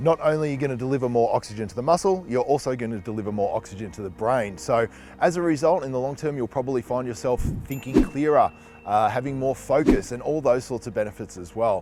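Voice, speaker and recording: Over music in the background, a man with an Australian accent talks at a very fast pace, his medium-pitched voice carrying lively intonation. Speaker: fitness trainer. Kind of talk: health explainer.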